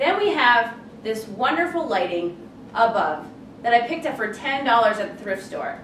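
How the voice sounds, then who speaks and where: A woman's high-pitched voice in an American accent, very wide pitch swings, moderate pace, audible room echo and noticeable background noise. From Colorado, US. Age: 30s. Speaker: furniture redesigner. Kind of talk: tutorial. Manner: animated.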